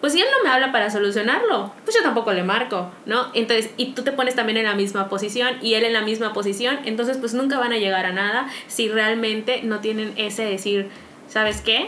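A woman with a fairly high pitch talks with hardly any pauses and fairly even intonation, over noticeable background noise and audible room echo. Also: fairly quick pace. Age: 30s. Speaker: podcast co-host. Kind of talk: casual chat.

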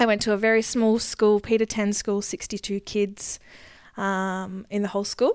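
The recording is very clean with a silent background. A woman in an Australian accent speaks at a moderate pace with a medium pitch and monotone, flat intonation. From Queensland, Australia (rural). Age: 20s. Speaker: podcast co-host, agriculture government worker. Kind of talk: casual chat.

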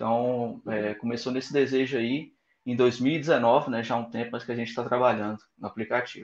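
A man at a medium pitch and moderate pace, his intonation monotone and flat. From Goiânia, central-west Brazil. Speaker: app founder, software engineer. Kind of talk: interview.

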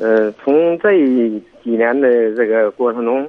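Speaking at a fairly slow pace, a man uses a medium-pitched voice. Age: 50s. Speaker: caller seeking family advice. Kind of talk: phone-in call.

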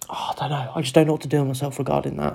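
The voice is soft-spoken, in a Cornish accent. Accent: Cornish English, regained after time away. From Cornwall, England. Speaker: solo podcaster practising talking. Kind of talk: casual solo chat, swearing. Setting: home, kids sleeping upstairs. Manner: soft, kept quiet.

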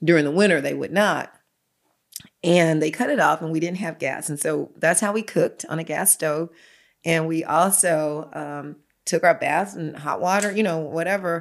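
A woman speaks in a normal speaking voice, fairly low in pitch with ordinary pitch variation, at a moderate pace. The recording is very clean with a silent background. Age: 60s. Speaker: pastor. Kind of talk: testimony.

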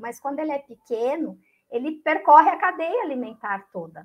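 Against a quiet background, the speaker's intonation is lively. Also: woman. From Aparecida, interior of São Paulo state. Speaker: biology teacher and environmental educator. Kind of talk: casual chat. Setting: live stream. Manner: animated.

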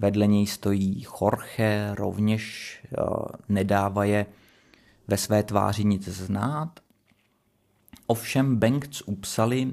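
At a very slow pace, a man speaks with a fairly low pitch and fairly even intonation. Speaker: podcast host, literary commentator. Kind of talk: solo analytical reading commentary.

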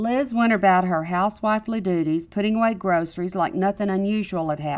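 Pitch shifts in an ordinary way here. The reading voice is unforced.

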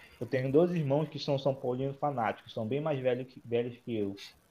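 This man talks at a moderate pace in a medium pitch, with ordinary pitch variation. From Manaus, northern Brazil. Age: 20s. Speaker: football fan guest. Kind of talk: casual chat.

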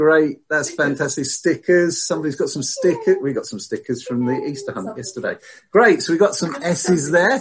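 A man at a fairly quick pace, with a slight West Country accent. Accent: slight West Country R, pirate-like. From England, lived in southwest eight years. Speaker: church service leader. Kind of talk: church service leading, sermon. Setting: online church service over video call.

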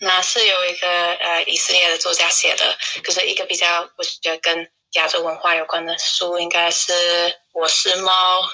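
Here a woman talks at a moderate pace. She speaks in an English accent. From England. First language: English (speaking Chinese). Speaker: YouTuber and language learner. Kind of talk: interview. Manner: halting.

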